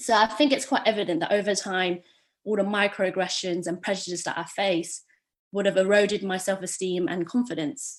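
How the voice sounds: A woman with an East London accent at a medium pitch and fairly quick pace, with ordinary pitch variation and a quiet background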